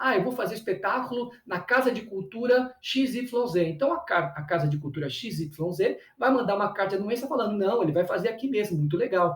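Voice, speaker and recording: Against noticeable background noise, a man with a high voice speaks at a fairly quick pace with lively intonation and hardly any pauses. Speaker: cultural producer and teacher. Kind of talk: lecture. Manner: fast; halting.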